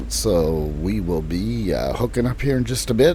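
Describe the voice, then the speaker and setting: A man with an American accent in a relaxed tone at a moderate pace, noticeable background noise behind him. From Illinois, US Midwest. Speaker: gaming streamer. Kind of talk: casual gameplay commentary. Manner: relaxed, casual.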